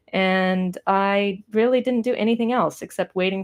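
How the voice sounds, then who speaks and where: A woman speaks in a Californian accent at a fairly slow pace. Her intonation is fairly even, and the background is quiet. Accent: Californian American. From US West Coast, Pasadena near Los Angeles. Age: 30s. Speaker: artist. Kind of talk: casual live stream chat while painting. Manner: rambling, hesitant with fillers.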